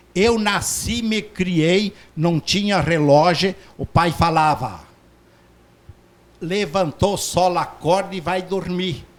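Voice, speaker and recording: A man's high voice at a very slow pace, with long, frequent pauses, ordinary pitch variation, and noticeable background noise. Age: 60s. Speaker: doctor. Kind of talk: interview. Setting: studio.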